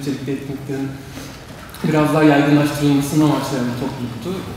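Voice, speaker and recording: Talking at a very fast pace, a man with a fairly high pitch keeps a monotone, flat intonation amid strong room echo and light background noise. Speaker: student moderator. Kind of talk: event introduction and interview questions. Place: hall. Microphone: podium.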